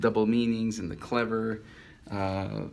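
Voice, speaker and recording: In a Spanish accent, a man with a fairly low voice speaks amid audible room echo. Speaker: caricature artist. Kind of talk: casual self-introduction monologue. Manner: halting, many fillers.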